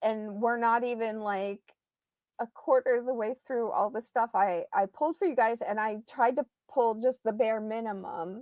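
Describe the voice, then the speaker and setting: Recorded very cleanly with a silent background and a dry, close sound free of echo, a woman speaks fairly slowly in a fairly high voice. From central Ohio. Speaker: private investigator. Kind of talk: livestream chat. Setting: livestream.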